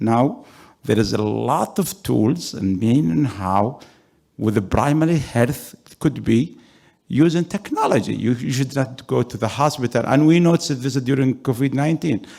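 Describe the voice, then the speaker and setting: Lively in intonation, a man with a medium pitch and a dark, mellow tone speaks at a moderate pace with vocal fry. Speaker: executive director of a development fund, audience participant. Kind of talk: audience question at a conference panel. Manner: loud; halting, many fillers.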